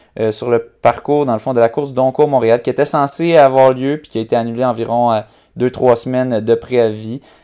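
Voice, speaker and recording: A man's dark, mellow tone at a fairly slow pace with fairly even intonation, against a quiet background. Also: big swings in loudness. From Quebec. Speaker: running podcast host; podcast host. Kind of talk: casual chat. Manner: halting, many fillers. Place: home room. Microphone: earbuds.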